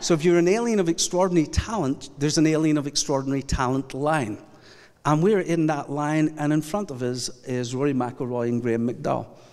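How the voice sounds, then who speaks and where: This man talks at a fairly quick pace with a Scottish accent. His fairly high pitch shows ordinary variation. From Scotland. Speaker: pastor. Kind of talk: sermon. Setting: church.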